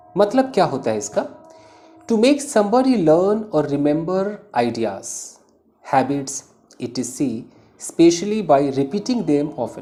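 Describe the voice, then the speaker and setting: A man's fairly high voice with very wide pitch swings and long, frequent pauses, over music in the background. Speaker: English teacher. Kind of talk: tutorial. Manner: slow.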